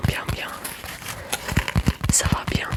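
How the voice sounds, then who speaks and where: Someone is whispering. Noticeable background noise runs underneath. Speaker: ASMR creator. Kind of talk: ASMR language lesson. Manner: whispered, soft-spoken.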